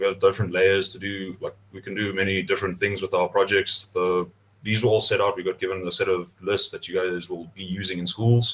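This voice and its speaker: Speaking fairly quickly at a fairly low pitch, the man keeps a flat, monotone intonation while his loudness swings widely. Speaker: GIS developer demonstrating mapping tool. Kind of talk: online tutorial demo. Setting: video call webinar. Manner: casual, hesitant with many fillers.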